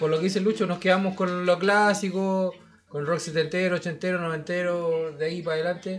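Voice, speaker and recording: Speaking with a high pitch and monotone, flat intonation, a man goes at a fairly slow pace. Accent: Chilean. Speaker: rock musician. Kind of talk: casual chat.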